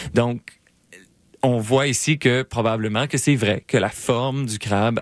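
An ordinary speaking voice, a man at medium pitch talks at a fairly slow pace with fairly even intonation, the sound dry and close with no echo on a very clean recording against a silent background. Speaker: science popularization radio co-host. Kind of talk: casual science chat on radio.

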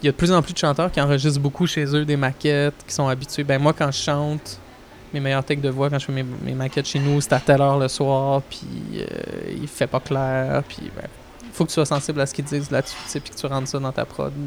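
In a monotone, flat intonation, a man speaks fairly quickly with a fairly high pitch. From Quebec, Montreal. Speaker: record producer and musician. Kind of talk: interview.

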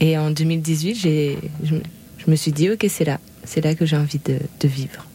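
Over noticeable background noise, a woman speaks very slowly at a very deep, low pitch. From Cergy, Paris region, France. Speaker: podcast host. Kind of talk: casual chat.

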